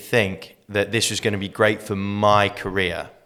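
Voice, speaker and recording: A man talks with an Australian accent. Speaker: master auctioneer, real estate trainer and mentor. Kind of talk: casual podcast interview answer, storytelling.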